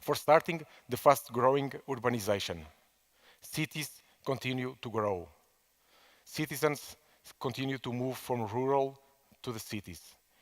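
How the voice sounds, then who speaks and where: A man with a non-native accent talks at a moderate pace in a medium pitch, his loudness swinging widely, his pitch varying in an ordinary way, with long, frequent pauses. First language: Portuguese. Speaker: management consultant. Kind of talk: conference talk. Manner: halting, many fillers and repetitions.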